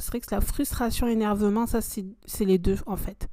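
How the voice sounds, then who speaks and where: This woman talks at a fairly slow pace. Her tone is dark and mellow. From France, Ardèche. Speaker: podcast host. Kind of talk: personal monologue podcast. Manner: hesitant with many fillers.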